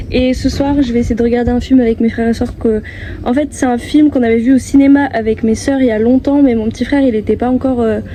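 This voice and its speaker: Over noticeable background noise, a soft-spoken woman with a high pitch talks very fast in a monotone, flat intonation. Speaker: vlogger and singer-songwriter. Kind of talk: vlog. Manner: hesitant.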